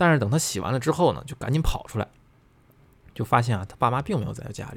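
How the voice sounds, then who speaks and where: Very fast male speech, medium in pitch, with lively intonation and vocal fry. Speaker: podcast host reading listener ghost stories. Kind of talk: storytelling, reading listener submissions in casual chat. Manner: animated.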